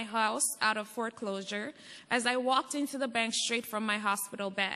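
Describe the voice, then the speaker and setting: Here a woman with an American accent speaks in a high pitch and a bright, sharp tone. Her pace is moderate and her intonation fairly even. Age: 30s. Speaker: airbnb host. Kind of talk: public testimony. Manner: reading a prepared statement.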